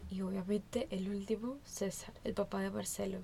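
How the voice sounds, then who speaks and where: A woman speaking in a monotone, flat way. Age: 20s. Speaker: podcast host. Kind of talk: personal monologue.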